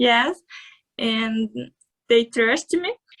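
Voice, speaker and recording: In a Portuguese accent, a woman speaks at a fairly high pitch, the sound dry and close with no echo. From Brazil. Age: 20s. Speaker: MMA fighter. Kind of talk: interview. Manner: halting.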